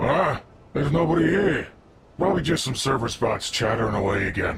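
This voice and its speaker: A man puts on a raspy character voice pitched fairly high. He speaks at a fairly quick pace. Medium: video game. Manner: brusque, commanding.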